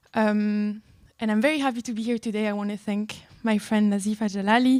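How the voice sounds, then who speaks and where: In a French accent, a woman with a fairly high pitch and a dark, mellow tone talks at a fairly quick pace in a monotone, flat intonation on a very clean recording with a silent background. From France. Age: 20s. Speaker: law student, board member. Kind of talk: speech. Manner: hesitant, many fillers.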